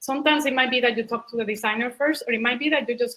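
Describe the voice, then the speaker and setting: A woman with a Puerto Rican accent speaks with ordinary pitch variation. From Puerto Rico. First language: Spanish. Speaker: product manager. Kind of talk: panel talk Q&A.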